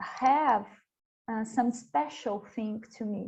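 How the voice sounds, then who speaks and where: Very slowly, a woman speaks with a Portuguese accent. Her voice is fairly high and somewhat breathy. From Brazil. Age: young. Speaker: panelist. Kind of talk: panel discussion. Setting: virtual conference. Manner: halting, hesitant.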